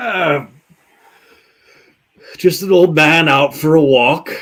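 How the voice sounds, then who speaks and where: A put-on character voice speaks very slowly. Its pitch variation is ordinary. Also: man, fairly high pitch for a man. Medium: actual play. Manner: theatrical, welcoming.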